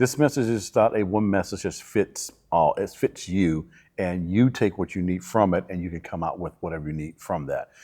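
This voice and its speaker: Over a very clean recording with a silent background, a man with a very deep, low pitch and a dark, mellow tone speaks at a moderate pace with ordinary pitch variation. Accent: Southern US. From Alabama, US South. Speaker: church minister. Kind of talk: interview.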